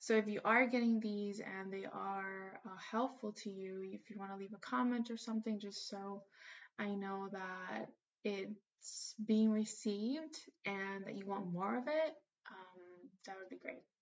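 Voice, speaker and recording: Speaking in a Spanish accent, a woman of medium pitch goes at a fairly slow pace, with ordinary pitch variation and big swings in loudness. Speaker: spiritual teacher. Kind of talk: casual monologue.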